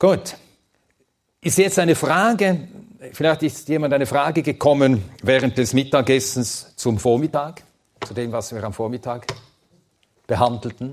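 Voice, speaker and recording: At a fairly slow pace, a man with a medium-pitched voice talks with lively intonation and long, frequent pauses. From Sweden, then Switzerland from age ten. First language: Swedish (speaking German). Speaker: Bible teacher. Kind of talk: lecture.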